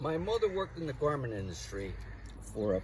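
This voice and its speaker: Male voice with a northeastern Pennsylvania accent at a fairly quick pace. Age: 70s. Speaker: home gardener. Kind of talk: interview. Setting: outdoors.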